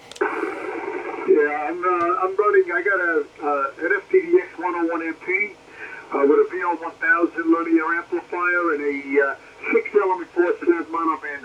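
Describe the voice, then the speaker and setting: Moderate pace from a man with an American accent, noticeable background noise behind him. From Brooklyn, New York. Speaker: amateur radio operator. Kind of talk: ham radio contact. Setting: radio transmission.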